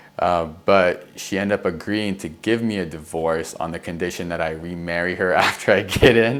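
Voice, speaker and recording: A man's very deep, low voice at a moderate pace, with hardly any pauses. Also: ordinary pitch variation. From US (immigrated from Egypt at age four). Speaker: Marine veteran. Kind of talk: interview storytelling. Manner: casual, hesitant with fillers and restarts.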